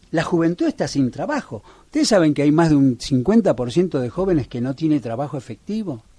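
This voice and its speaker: Lively intonation rides over a dark, mellow, somewhat breathy tone. The pace is moderate, with hardly any pauses. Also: man, fairly high pitch for a man. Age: 60s. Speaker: local political candidate. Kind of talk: radio interview. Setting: radio studio.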